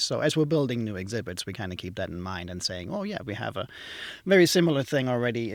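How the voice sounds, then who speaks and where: A man with a German accent, very fast delivery and very wide pitch swings. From southwest Germany. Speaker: museum exhibits tech manager. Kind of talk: podcast interview.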